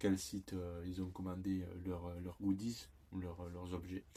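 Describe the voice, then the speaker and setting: A man with a Toulouse accent, very deep and low in pitch, dark and mellow in tone. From southern France, Toulouse. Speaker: YouTuber. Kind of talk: product unboxing. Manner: hesitant, many fillers.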